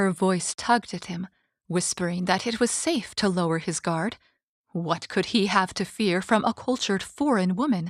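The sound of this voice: This is an unforced reading voice with ordinary pitch variation over a quiet background.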